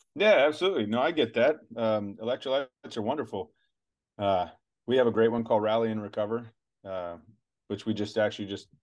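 A man with an unremarkable speaking voice, medium in pitch, at a fairly quick pace. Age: 40s. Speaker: retired special forces soldier and supplement company founder. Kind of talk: casual interview chat.

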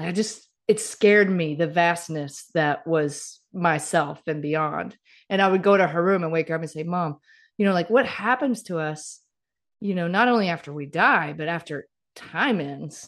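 A woman uses a normal speaking voice at a moderate pace. Her pitch is fairly low with ordinary variation, over a quiet background. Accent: American. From US South, Mississippi. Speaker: author and keynote speaker. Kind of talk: casual interview chat.

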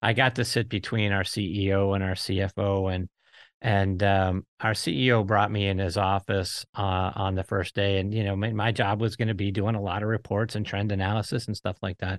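A man's fairly low, monotone, flat voice with an American accent at a moderate pace, in a dry, close sound with no echo and a quiet background. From Pittsburgh, US. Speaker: podcast host. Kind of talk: casual chat.

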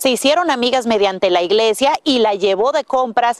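In a dry, close recording with no echo, a woman talks at a moderate pace with a high pitch and lively intonation. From Dominican Republic. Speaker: TV news reporter. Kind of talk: news report.

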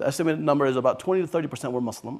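This man has a Californian accent and a fairly high pitch with ordinary pitch variation. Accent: Californian American. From Los Angeles, San Fernando Valley. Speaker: government official. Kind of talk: panel discussion. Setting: stage with audience.

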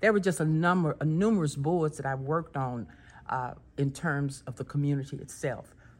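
Speaking at a moderate pace with a Texan accent, a woman with a very deep, low voice shows ordinary pitch variation in a very clean recording with a silent background. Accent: Texan Southern US. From Texas. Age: 70s. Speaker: physical therapist. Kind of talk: interview.

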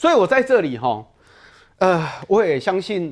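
A very clean recording with a silent background carries fairly quick speech. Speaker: political commentator. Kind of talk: TV political talk show.

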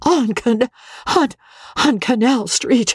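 A put-on character voice comes across as wheezy and fairly high in pitch. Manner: strangled, breathless with feeling.

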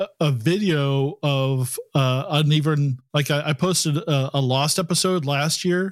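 At a fairly slow pace with hardly any pauses, a man talks in an ordinary speaking voice of fairly high pitch, with ordinary pitch variation, very even loudness and a dry, close sound with no echo. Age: 50s. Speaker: podcast host, game master. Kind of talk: casual chat. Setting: video call.

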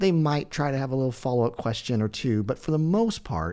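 A man speaks in an ordinary speaking voice at medium pitch. His pace is moderate. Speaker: podcast host. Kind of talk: casual interview chat.

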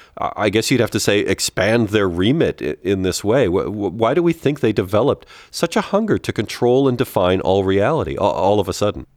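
This man has an ordinary speaking voice, fairly low in pitch, with an American accent and lively intonation. He talks at a fairly quick pace with hardly any pauses, on a very clean recording with a silent background and a dry, close sound with no echo. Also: very even loudness. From United States. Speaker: comedy podcast co-host, television writer.

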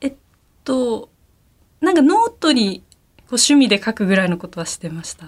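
Speaking at a moderate pace, a woman with a fairly high, somewhat breathy voice makes very wide pitch swings and big swings in loudness, leaving long, frequent pauses. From Aomori, Japan. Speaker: manga artist. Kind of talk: interview.

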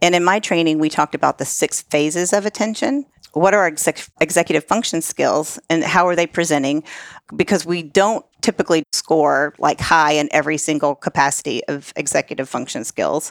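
An unremarkable speaking voice from a woman, fairly low in pitch and fairly quick, with ordinary pitch variation and a dry, close sound with no echo on a very clean recording with a silent background. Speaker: life coach. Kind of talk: casual interview chat.

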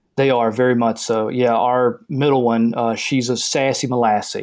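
A man with a Southern US accent speaks at a moderate pace. His pitch sits at a medium level. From US South. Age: 30s. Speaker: caller. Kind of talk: casual chat.

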